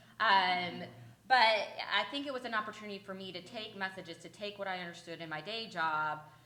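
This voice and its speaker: Speaking at a fairly quick pace, a woman with a medium pitch and ordinary pitch variation swings widely in loudness, with noticeable background noise and audible room echo. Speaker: legal advocacy panelist and podcaster. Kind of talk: conference panel talk. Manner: fast.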